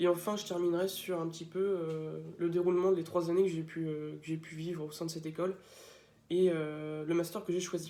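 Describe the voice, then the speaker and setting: Against audible room echo, a man speaks fairly quickly in a high-pitched voice with a dark, mellow tone and monotone, flat intonation. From France, Laval (Mayenne). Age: 20s. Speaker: student. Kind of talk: video testimony about his school. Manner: hesitant, many filler sounds.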